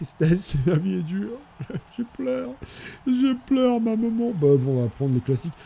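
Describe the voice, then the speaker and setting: This man's high voice has a dark, mellow tone and very wide pitch swings. He speaks at a fairly slow pace with long, frequent pauses. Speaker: gaming video creator. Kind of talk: gameplay commentary. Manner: stammering repetitions.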